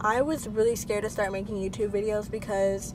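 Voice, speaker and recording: A fairly high-pitched woman talking at a fairly quick pace over background music. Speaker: lifestyle vlogger. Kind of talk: casual vlog monologue. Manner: filler-heavy, conversational.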